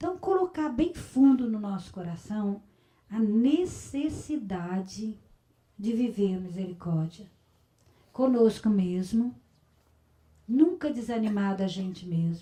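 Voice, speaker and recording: At a very slow pace, a woman with a fairly high pitch and a dark, mellow tone makes very wide pitch swings, with long, frequent pauses. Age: 60s. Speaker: religious community leader. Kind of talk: spiritual talk. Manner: conversational.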